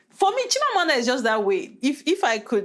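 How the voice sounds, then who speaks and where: Against noticeable background noise, a woman with a Nigerian accent speaks at a fairly quick pace. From Nigeria, Delta State. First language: Nigerian Pidgin. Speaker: podcast host, hairstylist. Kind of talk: casual chat.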